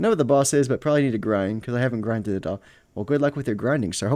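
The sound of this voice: The clip has an unforced reading voice and ordinary pitch variation.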